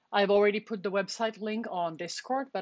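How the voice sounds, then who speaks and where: A woman speaks with a non-native accent. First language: not English. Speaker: university programming lecturer. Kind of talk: lecture. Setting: live stream on Twitch and Discord voice channel.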